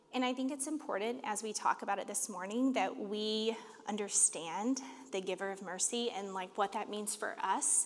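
A woman with a plain, everyday voice, fairly high in pitch, with ordinary pitch variation and a moderate pace. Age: 30s. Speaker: church leader preaching. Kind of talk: sermon.

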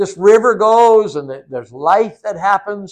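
A man speaks in an animated tone at a high pitch. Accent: American. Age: 60s. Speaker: visiting preacher. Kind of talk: sermon. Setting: church.

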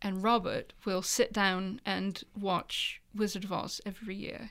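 In an English accent, a woman speaks at medium pitch with ordinary pitch variation. The recording is very clean, with a silent background. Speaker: author. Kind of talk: casual chat. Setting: studio.

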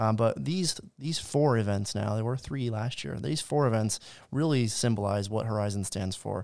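In a very clean recording with a silent background, a man with a plain, everyday voice talks at a moderate pace and medium pitch with lively intonation. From US South, Georgia. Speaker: podcast co-host, marketing director. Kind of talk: casual chat.

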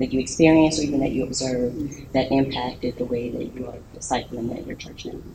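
Very deep and low in pitch, a woman speaks very fast with hardly any pauses, fairly even intonation and big swings in loudness over noticeable background noise. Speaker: panel moderator. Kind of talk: panel moderation. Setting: stage with audience.

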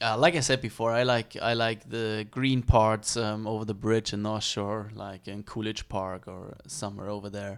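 A man with a fairly low pitch speaks at a moderate pace with hardly any pauses. His intonation is fairly even, though his loudness swings widely. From Germany. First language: German.

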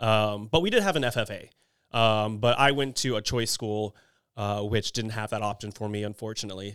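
On a very clean recording with a silent background, a man with an American accent and a plain, everyday voice speaks at a fairly quick pace, with fairly low pitch and fairly even intonation. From Texas, Houston area (Kingwood). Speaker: criminology professor. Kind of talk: casual chat.

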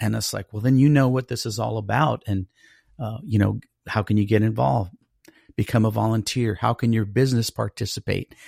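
Somewhat breathy and fairly low-pitched, a man with an American accent speaks at a fairly quick pace with ordinary pitch variation in a very clean recording with a silent background. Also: dry, close sound with no echo. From Colorado Springs, US. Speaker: ministry director serving the homeless. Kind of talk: casual interview.

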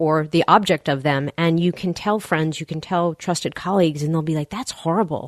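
A woman's fairly low-pitched, normal speaking voice at a fairly quick pace, with ordinary pitch variation, dry and close with no echo against a quiet background. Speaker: physician and podcast host. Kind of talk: interview conversation.

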